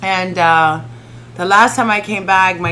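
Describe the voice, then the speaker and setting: A woman talks at a fairly slow pace in a medium-pitched, animated tone. Room echo is audible. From Miami (Kendall), Dominican-born. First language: Spanish. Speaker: stand-up comedian. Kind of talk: casual chat.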